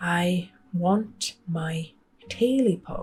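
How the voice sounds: A woman uses a put-on character voice pitched fairly low.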